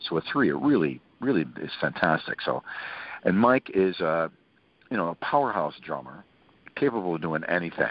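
Heard in dry sound with no echo, a man speaks at a moderate pace with lively intonation. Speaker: interview guest. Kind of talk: interview answer. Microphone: phone line.

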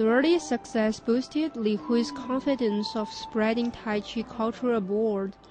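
A woman with a fairly high pitch and ordinary pitch variation speaks at a fairly slow pace with hardly any pauses, over noticeable background noise. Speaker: news reporter. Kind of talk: scripted narration.

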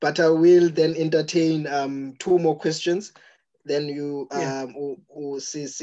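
A man speaks at a very slow pace, in a dark, mellow tone at a fairly high pitch. His intonation is fairly even, with long, frequent pauses over a quiet background. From South Africa. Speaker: Q&A moderator. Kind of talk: reading audience questions. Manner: halting. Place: home room. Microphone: video call.

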